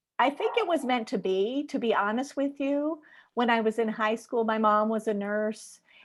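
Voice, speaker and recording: Captured on a very clean recording with a silent background, a woman with a plain, everyday voice speaks at a fairly high pitch and moderate pace, with ordinary pitch variation and very even loudness. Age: 50s. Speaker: nurse and health coach. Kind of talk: interview.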